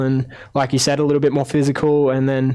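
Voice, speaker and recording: Talking at a very fast pace, a man with an Australian accent keeps a medium pitch. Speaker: ice hockey player. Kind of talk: interview. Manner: halting, many fillers.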